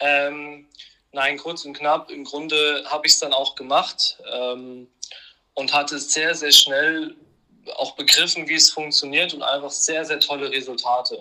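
This man has a fairly high pitch and a monotone, flat intonation. His loudness swings widely. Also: fairly slow pace. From Hannover, northern Germany. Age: 20s. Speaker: finance expert and entrepreneur. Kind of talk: interview.

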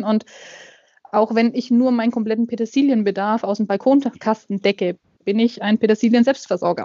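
A woman's normal speaking voice, fairly high in pitch, with fairly even intonation at a moderate pace. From Middle Franconia, Germany (near Nuremberg). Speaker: gardener and self-sufficiency blogger. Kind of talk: casual interview.

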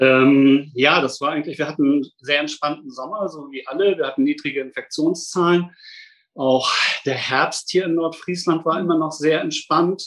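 In an unremarkable speaking voice, a man talks at a moderate pace with fairly even intonation and a fairly high pitch. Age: 50s. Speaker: safety engineer at a hospital. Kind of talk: interview.

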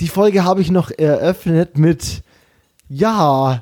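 A man with lively intonation. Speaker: podcast host. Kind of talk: casual chat. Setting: remote, in his mother's office. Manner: fast, energetic.

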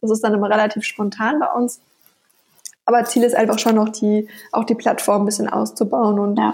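With long, frequent pauses, a woman speaks at a fairly high pitch, her intonation fairly even and her loudness very even. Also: fairly quick pace. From Bavaria, Nuremberg (Franconia). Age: 20s. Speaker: online shop founder. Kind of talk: interview.

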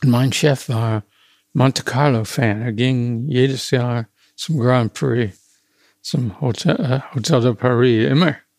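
This very clean recording has a silent background. A man talks at a very slow pace and medium pitch, with fairly even intonation. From US, small town. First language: English (speaking German). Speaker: retired car designer. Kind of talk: interview. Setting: historic building among cars at carmaker's factory. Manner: halting.

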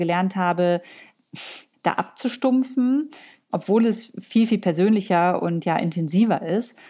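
This woman's voice has a dark, mellow tone with ordinary pitch variation. The recording is very clean, with a silent background. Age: 30s. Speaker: influencer and content creator. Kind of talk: interview.

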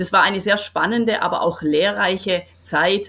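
A woman speaks at a medium pitch and a moderate pace. She has an ordinary speaking voice. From Swabia, Baden-Württemberg (Kirchheim unter Teck / Wendlingen). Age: 50s. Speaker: business owner and association president. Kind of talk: interview.

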